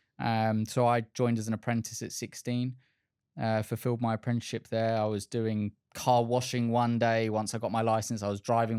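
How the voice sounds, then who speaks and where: A man speaks with an Essex accent at a moderate pace. His intonation is monotone and flat. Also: dry, close sound with no echo, very clean recording, silent background. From England, Essex. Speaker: car sales director. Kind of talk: podcast interview. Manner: hesitant, many filler words.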